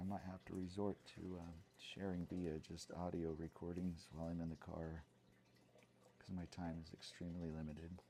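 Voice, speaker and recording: Soft-spoken and at a moderate pace, a man talks in a dark, mellow voice with very deep, low pitch. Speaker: math education student and video blogger. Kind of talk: comedic monologue. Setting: at home at night. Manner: halting, many fillers.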